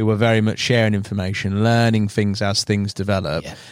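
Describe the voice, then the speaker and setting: A man with a plain, everyday voice speaks at a fairly low pitch with fairly even intonation. The sound is dry and close, with no echo. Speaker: podcast host. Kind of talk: casual chat.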